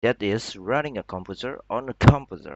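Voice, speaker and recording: A man with an Indonesian accent and lively intonation. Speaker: student. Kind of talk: class presentation.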